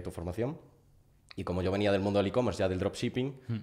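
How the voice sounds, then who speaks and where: The speaker talks very fast in a Galician accent, with fairly even intonation. The background is quiet. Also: man. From Galicia, A Coruña. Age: 20s. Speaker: growth partner, student; podcast guest. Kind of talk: interview. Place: home room. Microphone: studio mic.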